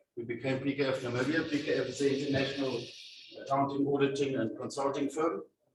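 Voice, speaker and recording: This man talks at a fairly high pitch, and audible room echo is present. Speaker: company CEO giving a career talk. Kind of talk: presentation to school students. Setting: school hall with student audience, no mic. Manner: loud.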